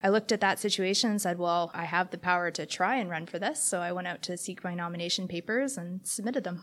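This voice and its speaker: Speaking at a very fast pace with a Canadian accent, a woman with a medium pitch shows ordinary pitch variation on a very clean recording with a silent background. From Canada, Hamilton, Ontario. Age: 30s. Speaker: city council candidate. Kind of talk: interview answers. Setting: library makerspace room.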